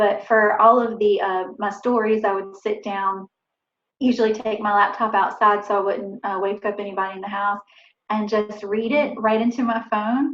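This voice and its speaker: A woman with a Southern accent, fairly high-pitched, at a moderate pace, in a monotone, flat delivery. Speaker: author. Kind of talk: talk to a writers group. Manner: casual, with many fillers.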